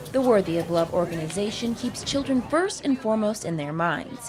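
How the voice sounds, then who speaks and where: The voice makes very wide pitch swings while music plays in the background. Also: woman. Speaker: news reporter. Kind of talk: TV news report.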